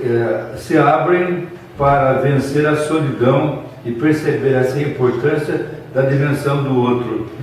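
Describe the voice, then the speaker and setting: Over noticeable background noise and audible room echo, a man with a fairly high voice talks at a very slow pace. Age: 70s. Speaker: bishop. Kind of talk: interview. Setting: student video interview.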